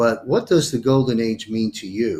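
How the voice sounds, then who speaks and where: On a very clean recording with a silent background, a man talks at a medium pitch with ordinary pitch variation. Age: 60s. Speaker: talk show host. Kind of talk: interview. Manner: halting.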